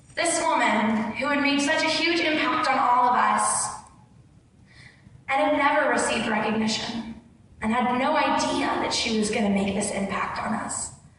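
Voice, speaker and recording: Noticeable background noise and audible room echo surround a woman's high-pitched voice. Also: ordinary pitch variation, moderate pace, very even loudness. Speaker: lay preacher. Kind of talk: sermon.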